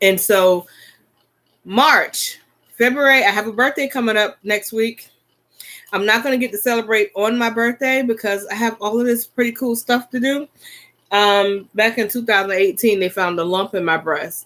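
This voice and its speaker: With a bright, sharp tone, a woman speaks at a fairly high pitch, varying it in an ordinary way. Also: moderate pace. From US South (Florida and South Carolina). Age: 40s. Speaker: YouTuber. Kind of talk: casual livestream chat.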